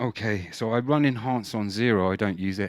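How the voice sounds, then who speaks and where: Pitch moves in an ordinary way as the man talks. The background is silent, and the recording very clean. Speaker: singer and vocal effects tutorial host. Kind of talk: tutorial. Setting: home studio, mic through vocal processor and mixer. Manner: casual, halting with many fillers.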